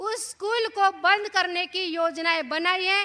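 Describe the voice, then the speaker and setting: A woman with a Marathi accent projects a raised voice at an extremely high pitch, bright and sharp in tone, with fairly even intonation. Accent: Marathi-accented Hindi. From Maharashtra, India. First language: Marathi (speaking Hindi). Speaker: activist speaker. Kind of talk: public speech. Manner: halting.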